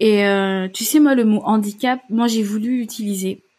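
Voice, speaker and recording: Somewhat breathy, a woman speaks at a fairly high pitch with ordinary pitch variation in a very clean recording with a silent background. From Gabon. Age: 30s. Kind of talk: interview. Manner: hesitant.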